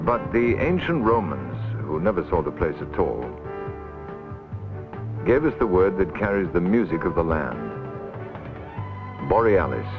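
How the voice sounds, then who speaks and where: Music plays behind a man with a very deep, low pitch and very wide pitch swings. He talks at a moderate pace with long, frequent pauses. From British. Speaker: actor. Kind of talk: documentary narration.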